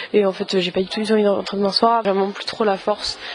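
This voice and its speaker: Noticeable background noise sits under a woman speaking at a medium pitch in a monotone, flat intonation. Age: 20s. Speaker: law student, travel podcaster. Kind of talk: travel vlog diary. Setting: on the go, outdoors and in transit. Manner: casual, chatty.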